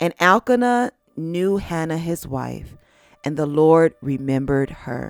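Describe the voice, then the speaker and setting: A woman speaks at a fairly slow pace in a fairly low pitch, with ordinary pitch variation. The sound is dry and close with no echo, and music plays in the background. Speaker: Bible narrator. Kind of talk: Bible story reading, meditation narration.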